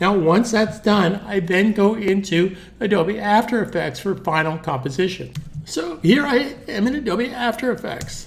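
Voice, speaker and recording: Music plays behind a man speaking at a moderate pace. His voice is high-pitched with lively intonation. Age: 60s. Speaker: animation tutor. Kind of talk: tutorial. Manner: casual, conversational.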